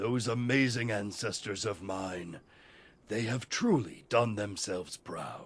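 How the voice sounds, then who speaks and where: A man's put-on character voice, medium in pitch, with ordinary pitch variation and a fairly slow pace. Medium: video game. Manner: boastful, grandiose.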